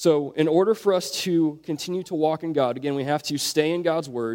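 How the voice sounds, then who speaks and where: An unremarkable speaking voice with ordinary pitch variation. The pace is fairly quick. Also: man. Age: 20s. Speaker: youth pastor. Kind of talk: sermon.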